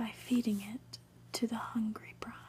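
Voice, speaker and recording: Someone whispers softly at a very slow pace. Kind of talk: read story. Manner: whispered, soft-spoken.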